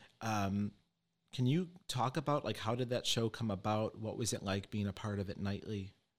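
A man speaks at a moderate pace with a fairly low pitch and ordinary pitch variation, in an unremarkable speaking voice. The recording is very clean with a silent background. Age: 30s. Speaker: podcast host and psychic medium. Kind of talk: casual interview chat.

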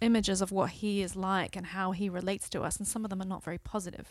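Recorded very cleanly against a silent background, a woman speaks at a fairly quick pace. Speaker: podcast host. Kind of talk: casual chat.

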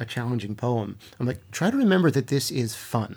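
A man talks at a very fast pace with lively intonation and a Mid-Atlantic accent. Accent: American, Mid-Atlantic. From US East Coast, Baltimore. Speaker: poet and creative writing professor. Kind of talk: interview conversation.

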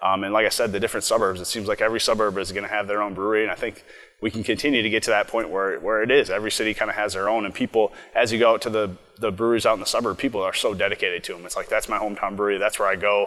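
A man's fairly low voice with an American accent, very fast and monotone, flat in intonation, bright and sharp in tone. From Minnesota, Twin Cities. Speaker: brewery owner and brewer. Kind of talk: interview. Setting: brewery.

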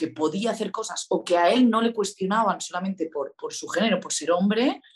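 A woman at medium pitch and moderate pace, with an unremarkable speaking voice. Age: young. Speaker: artist and entrepreneur. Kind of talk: casual chat.

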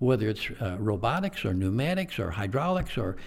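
His pitch swings very widely. The man speaks at a very fast pace. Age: 70s. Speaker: college president. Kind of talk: interview.

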